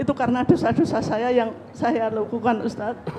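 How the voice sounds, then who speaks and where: A woman's high-pitched voice with fairly even intonation, amid noticeable background noise. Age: 60s. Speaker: housewife asking a question at a religious study. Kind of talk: question to a cleric.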